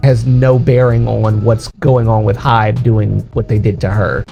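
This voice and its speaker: Over background music, a man of medium pitch talks at a moderate pace with fairly even intonation. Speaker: K-pop news commentator. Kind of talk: casual talk to camera. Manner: casual, chatty.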